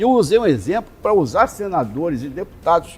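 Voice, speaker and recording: With music in the background, a man talks at a moderate pace in a high pitch, his voice making very wide pitch swings. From Rio de Janeiro, Brazil. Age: 60s. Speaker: politician. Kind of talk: interview.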